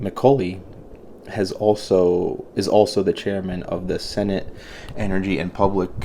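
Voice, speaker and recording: A man speaks at a fairly slow pace in a flat monotone, with noticeable background noise behind him. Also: fairly low pitch for a man. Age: 30s. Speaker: podcast host. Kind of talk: reading aloud with commentary. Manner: halting, stumbling over words; casual.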